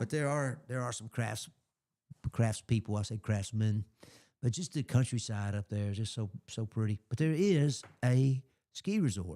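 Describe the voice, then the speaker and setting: A man with an Alabama accent speaks at a moderate pace in a medium pitch, his tone dark and mellow, his pitch varying in an ordinary way, with long, frequent pauses on a very clean recording with a silent background and a dry, close sound free of echo. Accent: Southern US (Alabama). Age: 60s. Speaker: radio host. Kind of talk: casual chat. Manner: halting.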